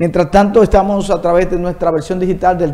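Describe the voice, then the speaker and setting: A man's voice at a high pitch. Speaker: entertainment show host. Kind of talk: interview.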